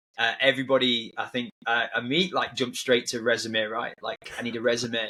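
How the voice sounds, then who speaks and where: A man with a northern English accent, medium pitch, fairly even intonation and a moderate pace. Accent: British, northern English. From northern England, near Manchester. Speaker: army veteran, tech company founder. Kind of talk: podcast interview. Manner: halting, many repeats and fillers.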